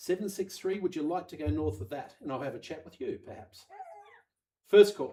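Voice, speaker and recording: A man with a slight Australian accent speaks at a high pitch in a dark, mellow tone. His intonation is lively and his loudness swings widely. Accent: slightly Australian-tinged. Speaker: auctioneer. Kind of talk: live auction calling. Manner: fast; animated.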